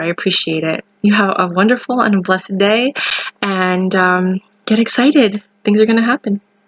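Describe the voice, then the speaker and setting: The sound is dry and close, with no echo. A woman speaks at a medium pitch with ordinary pitch variation. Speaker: aspiring documentary filmmaker. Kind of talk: fundraising appeal to camera. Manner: fast; animated.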